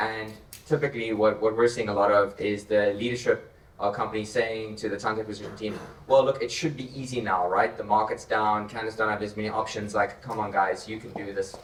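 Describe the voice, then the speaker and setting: A man's fairly low voice at a very fast pace, with fairly even intonation, amid noticeable background noise. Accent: South African. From South Africa. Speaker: tech company co-founder. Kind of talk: panel discussion.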